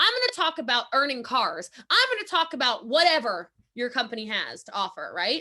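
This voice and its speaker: A woman with a high pitch speaks in an animated tone with very wide pitch swings. Her voice is raised and projected, at a moderate pace. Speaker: network marketing trainer. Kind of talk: motivational training talk. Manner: loud.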